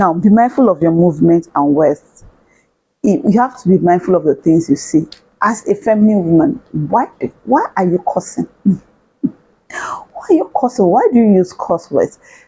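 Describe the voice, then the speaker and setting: A woman speaks at a moderate pace and medium pitch with very wide pitch swings, long, frequent pauses and a somewhat breathy, dark, mellow tone. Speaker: self-development vlogger. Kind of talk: casual advice talk to camera.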